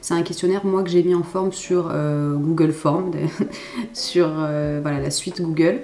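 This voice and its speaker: Here a woman talks at a fairly low pitch and a fairly slow pace. Her intonation is fairly even, and there is noticeable background noise. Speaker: graphic designer. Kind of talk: tutorial. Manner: casual, with frequent hesitations.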